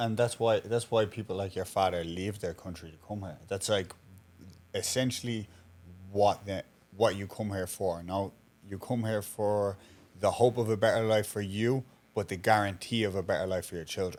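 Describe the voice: With fairly even intonation, a man with a fairly low, slightly mellow voice speaks at a moderate pace.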